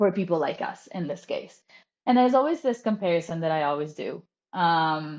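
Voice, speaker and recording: Lively intonation marks this voice with an Italian accent, delivered at a moderate pace. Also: woman, fairly low pitch for a woman. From Italy. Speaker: copywriter. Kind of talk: casual chat.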